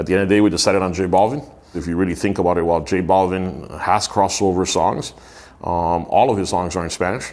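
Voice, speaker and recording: With an American accent, a man talks at a very fast pace in a very deep, low voice, his intonation fairly even. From Miami, US. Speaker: marketing and live events executive. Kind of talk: interview.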